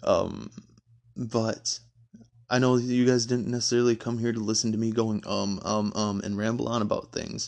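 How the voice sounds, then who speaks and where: A man talks at medium pitch and a moderate pace in a Midwestern American accent. His intonation is monotone and flat. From Michigan. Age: 20s. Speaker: podcast host. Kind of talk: casual monologue. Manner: hesitant, many fillers.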